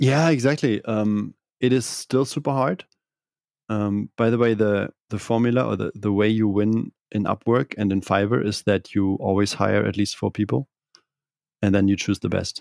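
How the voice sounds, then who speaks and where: A man with a German accent speaks at a moderate pace and fairly low pitch, with ordinary pitch variation. The sound is dry and close with no echo, on a very clean recording with a silent background. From northern Germany (Kiel). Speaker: digital nomad entrepreneur. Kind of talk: interview.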